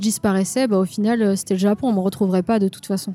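This woman's voice has a dark, mellow tone. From France, Lyon area. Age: 30s. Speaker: tattoo artist. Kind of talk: casual interview.

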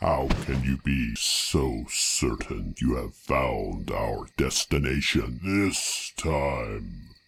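This is a put-on character voice, raspy in texture. It moves at a very slow pace. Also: man, very deep, low pitch for a man. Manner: imperious, scornful.

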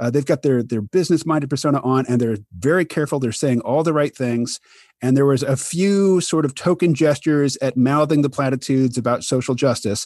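Speaking at a fairly quick pace with an American accent, a man uses a fairly high pitch and ordinary pitch variation at very even loudness, in a dry, close sound with no echo against a quiet background. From US Midwest, Kansas City, Missouri. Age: 50s. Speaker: podcast host, cartoonist and author. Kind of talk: casual interview chat. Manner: gentle and amiable.

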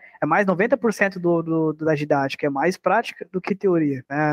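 The speaker is a man. His pitch is high. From Brazil, Sorocaba, interior of São Paulo. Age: 20s. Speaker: percussionist. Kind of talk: casual interview.

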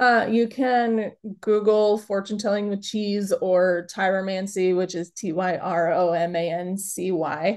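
At a fairly slow pace with hardly any pauses, an unremarkable speaking voice with an American accent keeps a fairly even intonation. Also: woman, medium pitch for a woman. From Chicago. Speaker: kitchen witch and workshop teacher. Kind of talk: casual interview.

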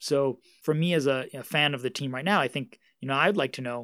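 The speaker is a man with a New York accent. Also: very clean recording, silent background. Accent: New York American. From Queens, New York. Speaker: author and media researcher. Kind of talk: interview.

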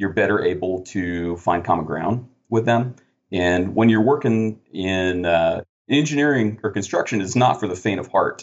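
A man speaks at a fairly low pitch with ordinary pitch variation. His is a plain, everyday voice. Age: 30s. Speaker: construction project manager and former army engineer officer. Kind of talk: interview.

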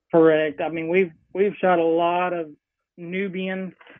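Here a man with a Texan accent speaks at a high pitch. His pace is fairly slow and his intonation monotone and flat. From Central Texas (Hill Country). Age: 40s. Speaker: hunting outfitter. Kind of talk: casual interview.

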